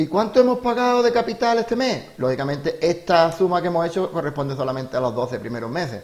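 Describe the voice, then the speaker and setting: A high-pitched man at a very fast pace, with very wide pitch swings and noticeable background noise. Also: hardly any pauses. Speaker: teacher. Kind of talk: tutorial. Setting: home during lockdown.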